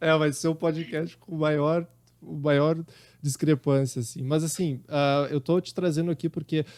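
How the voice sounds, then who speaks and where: A man talks in a strong gaúcho accent. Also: dry, close sound with no echo, very clean recording, silent background. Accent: thick gaúcho. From Rio Grande do Sul, southern Brazil. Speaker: podcast host. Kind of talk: casual interview chat. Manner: hesitant, with fillers.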